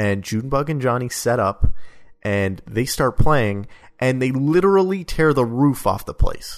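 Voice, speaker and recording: A man talks at a fairly slow pace in a normal speaking voice. His pitch is medium and his intonation lively. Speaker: podcast co-host. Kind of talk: casual chat about a video game.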